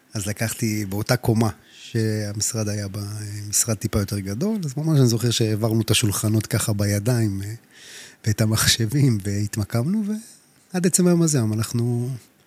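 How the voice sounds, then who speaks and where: A man's medium-pitched voice carries ordinary pitch variation at a moderate pace. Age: 30s. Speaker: real estate agent. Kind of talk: casual chat. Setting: studio.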